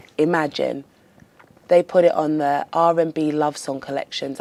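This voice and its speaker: At a moderate pace, a woman talks in a very deep, low voice with a dark, mellow tone and fairly even intonation. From London, England. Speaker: R&B singer. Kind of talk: interview.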